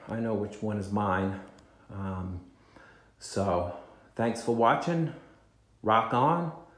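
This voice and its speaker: Audible room echo and noticeable background noise accompany a man as he talks. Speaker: guitar collector and vlogger. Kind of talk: casual video talk. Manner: hesitant, many fillers.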